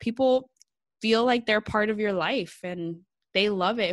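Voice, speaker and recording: On a very clean recording with a silent background, a woman speaks at a moderate pace in a fairly high pitch, her tone animated and her intonation lively. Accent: Californian. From California, San Jose Bay Area. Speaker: social media strategist. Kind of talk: casual interview.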